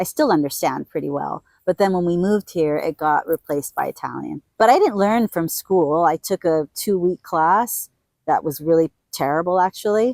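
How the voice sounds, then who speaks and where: A woman speaks in a plain, everyday voice at a fairly low pitch. Her pace is moderate, with ordinary pitch variation. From Puerto Rico / US. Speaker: hostel owner. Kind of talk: interview. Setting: outdoors.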